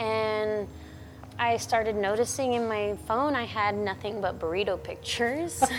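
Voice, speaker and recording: A normal speaking voice at a moderate pace, with ordinary pitch variation. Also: woman, fairly high pitch for a woman. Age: 40s. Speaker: roller skater and artist. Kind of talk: casual chat.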